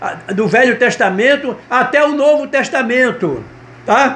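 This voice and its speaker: With audible room echo and noticeable background noise, a man speaks very slowly at an extremely high pitch. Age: 70s. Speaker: pastor and gospel singer. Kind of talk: sermon-style video message. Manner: halting, frequent repetitions and tag 'tá?'.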